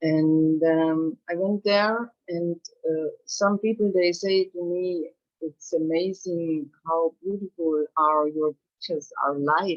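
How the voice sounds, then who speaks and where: The speaker has a German accent and a very slow pace. Pitch varies in an ordinary way. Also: woman. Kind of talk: testimony. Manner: halting.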